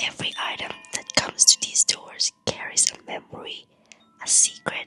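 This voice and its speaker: Someone whispers at a fairly slow pace. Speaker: pawnshop keeper host. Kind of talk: ASMR roleplay. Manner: whispered.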